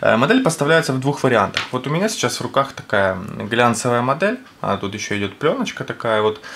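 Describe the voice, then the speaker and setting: A man's lively, fairly quick delivery over light background noise. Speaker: product reviewer. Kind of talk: product review commentary. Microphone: camera far.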